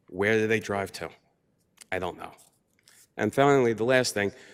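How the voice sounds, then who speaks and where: With a New York accent, a man speaks in a fairly low pitch with ordinary pitch variation on a very clean recording with a silent background. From New York, Long Island. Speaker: public commenter. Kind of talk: public comment at county meeting. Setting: county board meeting.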